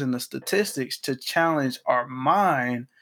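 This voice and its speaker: The tone is animated and the pace fairly slow, with ordinary pitch variation on a very clean recording with a silent background. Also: man. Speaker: podcast host. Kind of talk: casual conversation. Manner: animated, laughing.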